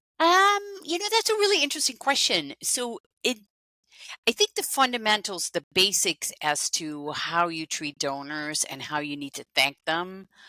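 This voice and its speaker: A woman's voice with big swings in loudness, dry and close with no echo. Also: moderate pace. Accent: Dutch. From Netherlands. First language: Dutch. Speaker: fundraising consultant. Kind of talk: interview.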